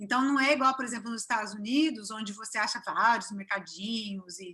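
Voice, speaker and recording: This woman talks at a fairly quick pace. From Brazil, São Paulo state (Cachoeira Paulista area). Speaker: business owner, expatriate. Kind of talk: interview. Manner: warm, chatty with filler hesitations.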